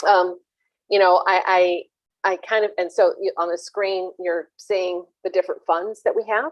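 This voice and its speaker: A woman with an American accent, medium pitch, a fairly slow pace, fairly even intonation, and an unremarkable speaking voice. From US Midwest, St. Louis. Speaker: venture capital investor. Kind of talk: panel talk.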